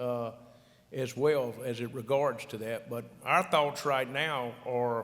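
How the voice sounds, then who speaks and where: A man with a Louisiana accent speaks at a medium pitch in a monotone, flat intonation. Audible room echo surrounds his voice. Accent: Louisiana Southern. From South Louisiana. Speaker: agricultural retail executive, conference panelist. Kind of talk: conference panel discussion. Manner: repetitive, halting restarts.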